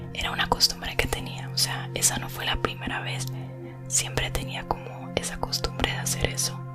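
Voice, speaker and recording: Someone whispers at a moderate pace. Music is playing in the background. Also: woman. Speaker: ASMR creator. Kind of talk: casual talk to camera. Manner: whispered.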